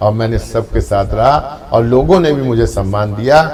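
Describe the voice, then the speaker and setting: There is noticeable background noise. A man speaks at medium pitch with ordinary pitch variation. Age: 60s. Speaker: trade association leader. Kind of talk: interview.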